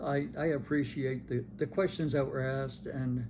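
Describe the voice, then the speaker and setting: Speaking with an American accent, a man keeps a medium pitch, a moderate pace and fairly even intonation amid audible room echo. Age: 80s+. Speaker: longtime parishioner interviewee. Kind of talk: oral history interview. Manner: halting, many repetitions and fillers.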